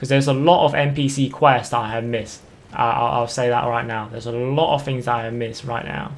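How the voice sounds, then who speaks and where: There is audible room echo around this man's voice. His intonation is fairly even. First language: not English. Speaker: gaming YouTuber. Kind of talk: gameplay commentary. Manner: halting, many fillers and repeats; casual.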